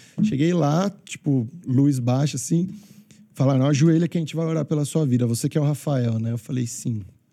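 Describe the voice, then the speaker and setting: With a dark, mellow tone, a man talks at a moderate pace and a fairly high pitch, his pitch varying in an ordinary way. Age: 30s. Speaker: wedding DJ. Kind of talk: testimony. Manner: animated.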